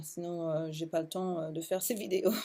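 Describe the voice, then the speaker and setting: A woman speaks at a fairly low pitch in a dark, mellow tone. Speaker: essential oils distributor and vlogger. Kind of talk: casual vlog talk to camera. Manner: halting, many hesitations.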